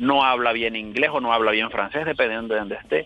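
A man talking at a fairly quick pace with ordinary pitch variation, music playing in the background. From Colombia, La Guajira / Valledupar. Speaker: caller, bank worker. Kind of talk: call-in chat.

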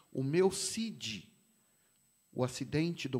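A man speaks with a fairly high pitch. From São Paulo, east zone (Vila Carrão). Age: 50s. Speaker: pastor and motorcycle club president. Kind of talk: casual interview chat.

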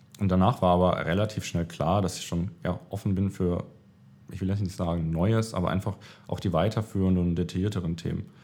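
A man with a very deep, low voice speaks at a fairly quick pace, his tone dark and mellow and his intonation fairly even. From Baden-Württemberg, Germany. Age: 30s. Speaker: management consultant. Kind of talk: interview. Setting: office.

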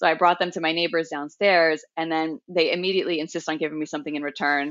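A woman with an American accent, very deep, low pitch, very fast pace, fairly even intonation, quiet background. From Long Island, New York. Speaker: remote tech worker, expat. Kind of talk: casual interview chat.

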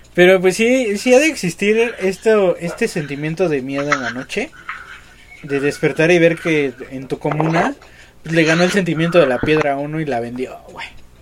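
Noticeable background noise accompanies a high-pitched man whose lively intonation moves at a moderate pace. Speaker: podcast co-host, comedian. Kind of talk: casual comedic chat.

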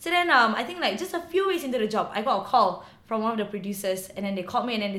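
At a very fast pace, a woman with a fairly high pitch and lively intonation speaks amid noticeable background noise and audible room echo. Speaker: actress. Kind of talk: casual interview.

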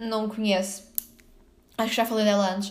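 A woman with a Lisbon accent speaks in a fairly high pitch and a monotone, flat intonation, with audible room echo. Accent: Lisbon European Portuguese. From Portugal, Lisbon area (São João do Estoril). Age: 20s. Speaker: podcaster and tour guide. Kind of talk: casual solo monologue.

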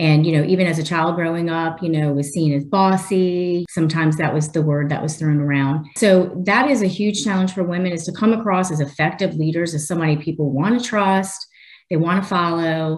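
A woman talks at a fairly quick pace with hardly any pauses and a fairly low pitch. Background noise is noticeable. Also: ordinary pitch variation. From New Orleans, Louisiana. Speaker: technology leader. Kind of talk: interview.

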